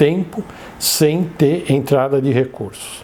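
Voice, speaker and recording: This man talks at a very slow pace, his fairly high pitch showing ordinary pitch variation. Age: 60s. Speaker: innovation consultant and professor. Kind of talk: interview testimony.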